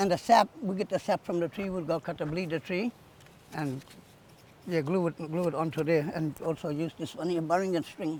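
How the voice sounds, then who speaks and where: At a moderate pace, a man with a high pitch talks with ordinary pitch variation. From Far North Queensland, Yarrabah. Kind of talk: cultural demonstration. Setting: outdoors on beach.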